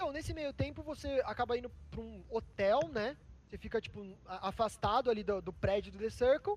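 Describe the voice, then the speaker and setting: The pace of this man's talking is moderate. His volume rises and falls in big swings. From Sorocaba, interior of São Paulo, Brazil. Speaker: reality show contestant and online content editor. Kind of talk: casual interview. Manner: casual slangy, hesitant with fillers.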